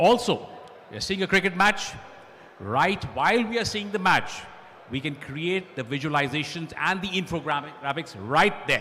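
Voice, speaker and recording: A loud man at a fairly quick pace, with very wide pitch swings over noticeable background noise. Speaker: panelist and college lecturer. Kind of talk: panel discussion with slide presentation.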